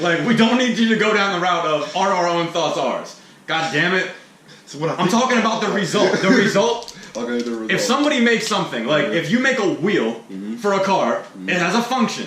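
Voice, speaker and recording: Very fast, loud speech with very wide pitch swings over noticeable background noise. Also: man, high pitch for a man. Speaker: rapper and podcast host. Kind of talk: casual podcast conversation. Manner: loud, talkative.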